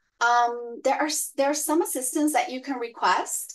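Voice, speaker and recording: With a Spanish accent, a woman speaks at a moderate pace. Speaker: arts grant program staff. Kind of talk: informational webinar presentation. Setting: online webinar. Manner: hesitant, many fillers.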